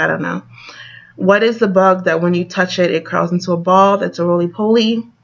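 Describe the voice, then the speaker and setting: Noticeable background noise sits behind this recording. A woman with an American accent talks at a fairly quick pace. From northern Delaware, Wilmington. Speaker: vlogger. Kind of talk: accent tag vlog. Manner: casual, chatty.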